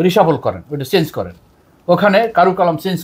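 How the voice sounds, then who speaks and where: The man's voice sits high in pitch. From Bangladesh. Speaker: retired navy officer; interview guest. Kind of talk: interview. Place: studio. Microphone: lapel.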